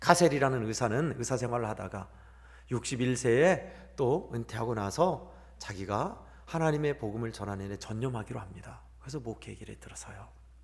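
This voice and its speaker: Amid audible room echo, a man with vocal fry speaks at a moderate pace and medium pitch, with ordinary pitch variation and big swings in loudness. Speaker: pastor. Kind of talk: sermon. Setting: church.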